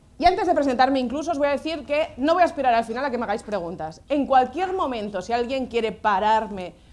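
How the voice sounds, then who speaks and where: With lively intonation, a woman speaks in a high pitch and an animated tone. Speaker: social educator and lecturer. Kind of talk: lecture. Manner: fast.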